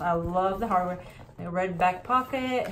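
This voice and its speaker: Audible room echo follows a woman as she talks. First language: not English. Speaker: handbag collection vlogger. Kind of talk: casual show-and-tell video. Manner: halting, tongue-tied.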